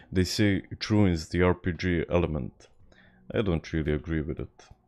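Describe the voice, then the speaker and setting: A man with a Serbian accent speaks at a moderate pace in a very deep, low pitch, with ordinary pitch variation. The recording is very clean, with a silent background. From Serbia, Belgrade. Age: 20s. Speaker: video game streamer. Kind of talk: casual gaming livestream chat. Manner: halting, frequent repetitions.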